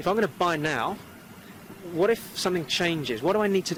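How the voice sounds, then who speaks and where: A man rushes through his words at a very fast pace, his pitch varying in an ordinary way, while noticeable background noise continues. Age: 40s. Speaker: property investor and speaker. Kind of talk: interview. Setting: outdoors.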